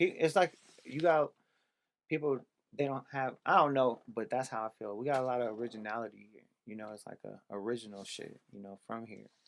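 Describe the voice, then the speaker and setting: Speaking with an American accent, a man talks at a fairly quick pace and a medium pitch. His pitch varies in an ordinary way while his loudness rises and falls sharply. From US West Coast, San Francisco (Bayview Hunters Point). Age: 30s. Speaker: MMA fighter. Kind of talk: casual chat.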